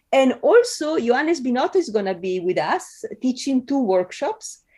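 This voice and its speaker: A woman with a high pitch and a dark, mellow tone makes very wide pitch swings. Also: moderate pace. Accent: Italian. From Italy. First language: Italian. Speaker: film professor and video essayist. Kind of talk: podcast interview.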